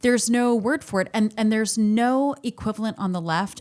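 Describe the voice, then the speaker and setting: On a very clean recording with a silent background, a woman with a plain, everyday voice speaks at a fairly high pitch and a moderate pace. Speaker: podcast host. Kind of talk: casual podcast conversation.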